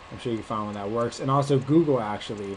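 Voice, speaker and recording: Against noticeable background noise, the speaker has an American accent and ordinary pitch variation. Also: man. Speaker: online marketing instructor. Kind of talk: screen-share tutorial. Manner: casual, many filler words.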